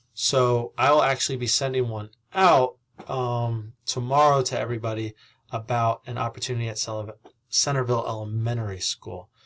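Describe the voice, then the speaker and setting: A man speaks at a moderate pace in a medium pitch, his voice somewhat breathy. The recording is very clean, with a silent background. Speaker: civics teacher. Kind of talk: recorded presentation to parents. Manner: halting, with frequent fillers.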